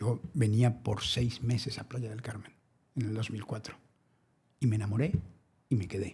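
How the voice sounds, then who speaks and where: Speaking at a moderate pace with long, frequent pauses, a man uses a medium pitch, a somewhat breathy, dark and mellow tone, and fairly even intonation. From Mexico, Naucalpan. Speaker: environmental activist. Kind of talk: interview.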